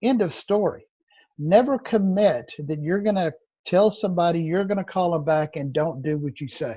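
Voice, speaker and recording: A man's high-pitched voice with a dark, mellow tone, a Southern accent, lively intonation and a moderate pace. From Louisiana. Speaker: real estate trainer. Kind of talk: training session.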